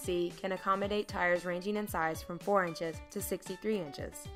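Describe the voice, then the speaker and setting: With music in the background, a woman talks at a fairly quick pace, her pitch varying in an ordinary way. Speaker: voice-over talent. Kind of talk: corporate narration.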